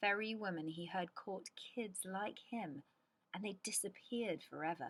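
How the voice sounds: The speaker reads in a natural reading voice, letting the pitch shift by ordinary amounts.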